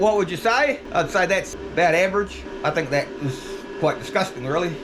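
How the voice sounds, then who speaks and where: Over noticeable background noise, a man with a New Zealand accent talks fairly quickly in a high pitch. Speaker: tool reviewer, video creator. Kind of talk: product review demo.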